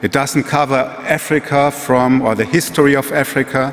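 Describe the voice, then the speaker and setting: A man speaks with a German accent and fairly even intonation. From Germany. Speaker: museum executive. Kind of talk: lecture. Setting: stage with audience. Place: hall. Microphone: podium.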